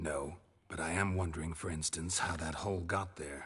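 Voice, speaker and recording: A man performs a put-on character voice. It is raspy and very deep and low in pitch. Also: moderate pace. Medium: video game. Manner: low, terse, dry.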